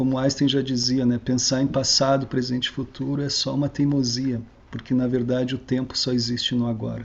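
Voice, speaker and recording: The speaker talks at a fairly quick pace with hardly any pauses, in a monotone, flat intonation and a somewhat breathy voice. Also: man, medium pitch for a man. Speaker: researcher giving a talk. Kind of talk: online lecture. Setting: online video talk.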